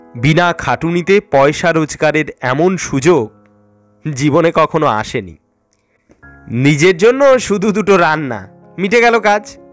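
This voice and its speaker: Music plays in the background as a man with a fairly high pitch speaks with lively intonation. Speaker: storyteller. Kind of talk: horror story reading.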